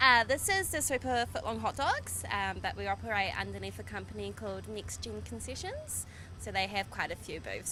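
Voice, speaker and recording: Amid noticeable background noise, a woman with a New Zealand accent talks at a fairly quick pace with hardly any pauses. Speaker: food vendor. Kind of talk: casual interview. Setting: outdoor summer fair.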